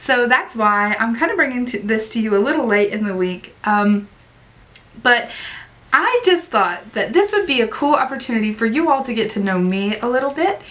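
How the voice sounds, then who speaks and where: A woman with an Appalachian accent talks at a moderate pace and fairly high pitch, her intonation lively. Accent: Southern US (Appalachian). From US South, Southwest Virginia. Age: 30s. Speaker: online ESL teacher and vlogger. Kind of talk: casual vlog talk.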